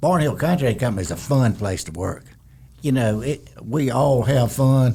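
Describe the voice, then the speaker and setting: A man with a dark, mellow tone and a somewhat breathy voice talks at a moderate pace, keeping a medium pitch with ordinary variation. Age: 70s. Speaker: retired construction executive. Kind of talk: casual interview. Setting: studio.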